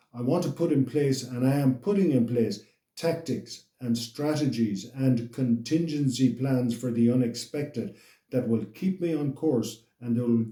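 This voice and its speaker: This man's voice sits at a medium pitch, somewhat breathy, with a dark, mellow tone. He keeps a moderate pace and ordinary pitch variation. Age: 60s. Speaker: motivational channel host. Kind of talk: motivational monologue. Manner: halting, with repetitions.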